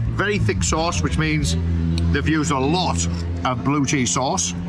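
Clear music plays in the background as the speaker talks at a fairly slow pace. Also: man. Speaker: travel food vlogger. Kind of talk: casual vlog chat. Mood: enthusiastic, pleased. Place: cafe. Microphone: camera far.

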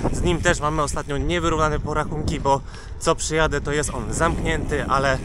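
Recorded dry with no echo, a man talks over loud background noise. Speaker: cycling vlogger. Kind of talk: casual vlog chat. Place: bicycle. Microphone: phone near.

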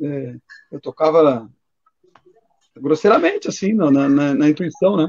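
This man talks at a fairly high pitch with ordinary pitch variation. The background is quiet. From Rio Grande do Sul, Brazil. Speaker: capoeira master and collector; interviewee. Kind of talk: casual chat. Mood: relaxed, nostalgic. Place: home room. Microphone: video call.

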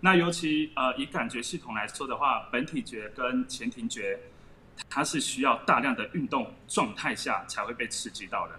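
Over light background noise, a man with fairly high pitch makes very wide pitch swings. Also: moderate pace. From Taiwan. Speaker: former gymnast, gymnastics gym owner. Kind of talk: explanatory interview. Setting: video call. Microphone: video call.

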